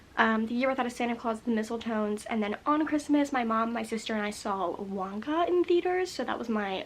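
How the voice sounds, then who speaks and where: Fairly quick and fairly high in pitch, a woman talks with ordinary pitch variation. Noticeable background noise runs underneath. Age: 20s. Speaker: movie vlogger. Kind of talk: casual vlog review. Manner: fast.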